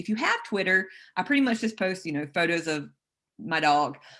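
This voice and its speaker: The voice has a bright, sharp tone and a South Carolina accent. It moves at a moderate pace with ordinary pitch variation. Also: woman. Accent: Southern, South Carolina. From US South, South Carolina. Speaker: turfgrass specialist. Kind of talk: webinar lecture.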